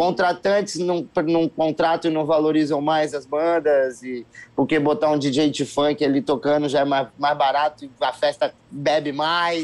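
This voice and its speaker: A man speaks in an ordinary speaking voice, pitched fairly high. His pace is fairly slow and his intonation fairly even. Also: hardly any pauses. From Brasília, Brazil. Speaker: singer and musician. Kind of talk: casual interview.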